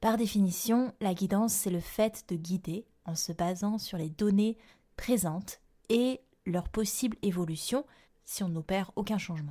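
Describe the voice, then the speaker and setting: A woman with a medium-pitched, dark, mellow voice sounds somewhat breathy and speaks at a fairly slow pace. Her pitch varies in an ordinary way, and the recording is very clean with a silent background. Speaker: yoga therapist and astrologer podcast host. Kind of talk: solo podcast monologue. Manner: clear and precise.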